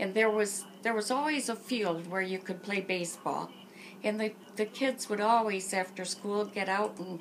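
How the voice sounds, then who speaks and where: With an American accent, a woman speaks at medium pitch with fairly even intonation. Background noise is noticeable. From Michigan, Port Huron area. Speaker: interviewee recounting her life. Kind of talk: oral history interview.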